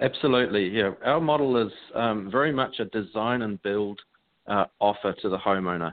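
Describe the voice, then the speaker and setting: Ordinary pitch variation with a strong New Zealand accent. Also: man, fairly low pitch for a man, moderate pace. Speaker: franchise co-founder. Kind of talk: interview.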